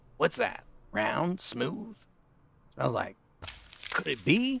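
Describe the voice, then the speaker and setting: In a put-on character voice, a man speaks at a high pitch with very wide pitch swings. His pace is very slow. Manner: gravelly, curious, sniffing.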